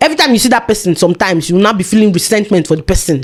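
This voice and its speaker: Speech races along at a very fast pace over noticeable background noise. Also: woman. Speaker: vlogger. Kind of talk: casual monologue. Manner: animated.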